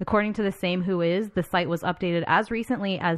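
Fairly low for a woman, this ordinary speaking voice moves through ordinary pitch variation. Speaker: podcast host. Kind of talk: casual chat. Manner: talkative, leads the discussion.

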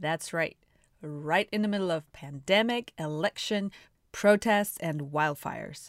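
With a Russian accent, the speaker talks at a fairly slow pace with ordinary pitch variation in a very clean recording with a silent background and a dry, close sound with no echo. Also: woman. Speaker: podcast host. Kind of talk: interview conversation. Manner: animated.

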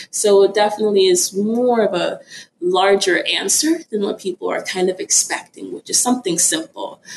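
With lively intonation at a moderate pace, a woman talks in an unremarkable speaking voice. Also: medium pitch for a woman. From Florida, US (born in Nigeria). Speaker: priestess. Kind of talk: interview. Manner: casual.

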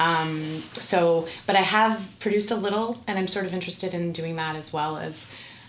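A woman with a Canadian accent speaks at a moderate pace in a fairly low voice, her intonation fairly even, over noticeable background noise. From Ontario, Canada (St. Catharines). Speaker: actress. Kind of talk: casual interview chat.

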